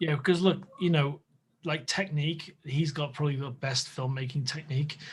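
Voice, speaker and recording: Here is a man with a northwest English accent, fairly high in pitch and somewhat breathy. He keeps fairly even intonation at a moderate pace. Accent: northern English (northwest). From northwest England. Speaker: podcast host. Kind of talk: casual chat. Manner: halting.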